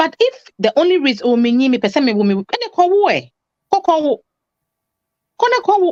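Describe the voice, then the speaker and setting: In a Ghanaian accent, a woman speaks at a moderate pace in a high voice with very wide pitch swings, very even loudness and long, frequent pauses, the sound dry and close with no echo. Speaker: relationship talk show guest. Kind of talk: talk show discussion. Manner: animated, emphatic.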